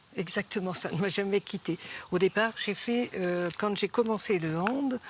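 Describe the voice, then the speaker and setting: Her voice is medium-pitched for a woman. Pitch variation is ordinary. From France, Vendée. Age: 70s. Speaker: retired handball player and club official. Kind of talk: TV interview. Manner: halting, many hesitations.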